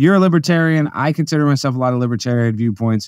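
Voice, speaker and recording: Talking very fast with lively intonation, a man with an American accent and fairly high pitch comes through dry with no echo over a quiet background. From Texas. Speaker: comedian and political show host; comedian, political show host. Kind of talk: casual interview chat. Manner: animated. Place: home room. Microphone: video call.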